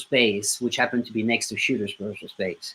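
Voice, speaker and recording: A man with a French accent talks at a very fast pace in a bright, sharp tone. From southern France. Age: 30s. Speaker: musician. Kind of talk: interview.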